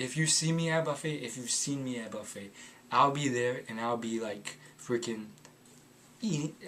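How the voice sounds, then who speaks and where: An American-accented man at medium pitch, with ordinary pitch variation and noticeable background noise. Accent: sounds slightly foreign to some listeners. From United States. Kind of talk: casual talk to camera.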